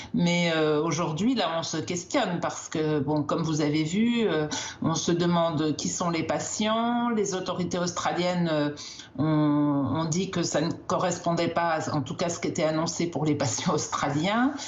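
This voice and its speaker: Over noticeable background noise and audible room echo, a woman talks at a fairly slow pace. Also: fairly low pitch for a woman, ordinary pitch variation. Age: 60s. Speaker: doctor, endocrinologist. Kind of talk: TV news interview. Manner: hesitant, many filler sounds.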